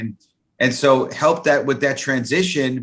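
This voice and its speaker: This is a man with an American accent. His pitch is medium. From New York City (the Bronx). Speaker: networking consultant. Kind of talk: interview. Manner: halting.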